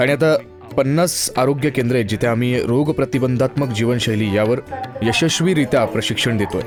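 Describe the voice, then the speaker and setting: A man's voice with music in the background. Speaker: voice actor. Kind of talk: dubbed interview answer.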